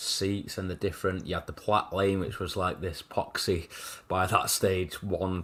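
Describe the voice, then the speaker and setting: With a Mancunian accent, a man speaks fairly slowly in a very deep, low pitch, keeping his intonation fairly even. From Manchester, England (Wythenshawe). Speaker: football podcast host. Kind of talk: casual chat.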